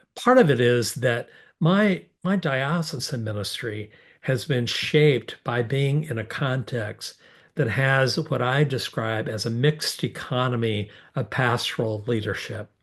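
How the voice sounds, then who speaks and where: Over a quiet background, a man talks at a fairly slow pace in a medium-pitched, somewhat breathy voice with ordinary pitch variation. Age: 60s. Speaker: bishop. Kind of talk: public Q&A forum answer. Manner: halting, many fillers.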